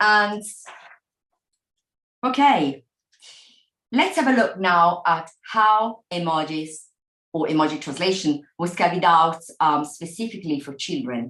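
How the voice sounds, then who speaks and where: At a fairly slow pace, a woman with a fairly low pitch and lively intonation leaves long, frequent pauses. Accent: Italian. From Italy. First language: Italian. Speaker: professor. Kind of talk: lecture. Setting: video call.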